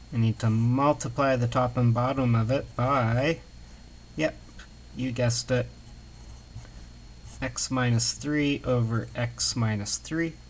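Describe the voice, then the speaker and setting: Pausing long and often, a man talks at a fairly slow pace. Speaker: math instructor. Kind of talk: lecture.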